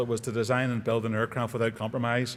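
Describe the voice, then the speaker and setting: The man's voice sits at a medium pitch. He talks very fast. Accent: Northern Irish. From Northern Ireland. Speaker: aerospace engineer, award recipient. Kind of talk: award acceptance speech.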